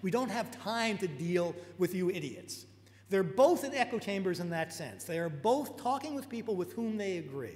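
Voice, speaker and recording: Over noticeable background noise and audible room echo, a man speaks with a high pitch in a New York accent. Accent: American, New York. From US Northeast, New York. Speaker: technologist and lecturer. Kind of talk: lecture. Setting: auditorium talk with live interpreter. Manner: fast; halting.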